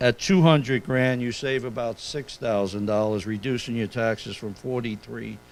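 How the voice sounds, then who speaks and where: A man with a New York accent talks at a fairly slow pace. His pitch varies in an ordinary way. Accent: New York City. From New York City. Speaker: accountant. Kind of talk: seminar presentation.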